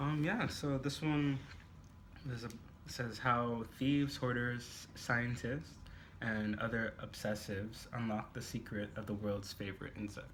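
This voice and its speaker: A man at a fairly slow pace with audible room echo. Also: medium pitch for a man, ordinary pitch variation. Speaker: book reviewer. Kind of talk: casual chat. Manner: hesitant, many fillers.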